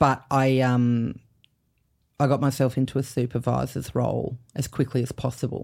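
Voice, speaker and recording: A woman with an Australian accent and a very deep, low pitch speaks at a moderate pace in a monotone, flat intonation, on a very clean recording with a silent background. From Canberra, Australia. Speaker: comedian. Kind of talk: casual chat.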